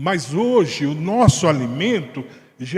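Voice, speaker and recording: A man speaks very slowly at a high pitch, his voice swinging very widely up and down. Audible room echo surrounds the voice. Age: 70s. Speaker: Bible study teacher. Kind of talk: Bible study discussion.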